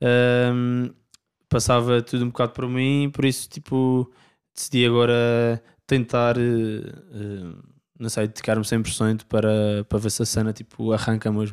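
Over a silent background in a very clean recording, a man speaks fairly slowly with monotone, flat intonation. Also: medium pitch for a man. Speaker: indie rock singer and guitarist. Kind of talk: casual interview chat.

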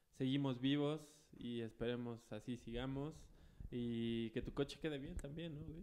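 A man's medium-pitched voice with a Mexican accent, fairly even intonation and a fairly slow pace. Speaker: radio show co-host. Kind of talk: casual chat.

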